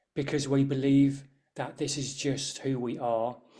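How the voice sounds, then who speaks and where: Speaking at a fairly slow pace, a man has an English Midlands accent and a dark, mellow tone. The recording is very clean, with a silent background. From English Midlands, near Birmingham. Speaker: Reiki master and energy healer. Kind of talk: interview chat. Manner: hesitant, with fillers and restarts.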